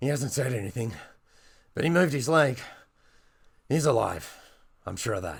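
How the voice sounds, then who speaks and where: A man's raspy, put-on character voice at a medium pitch, with lively intonation and a moderate pace. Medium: read story.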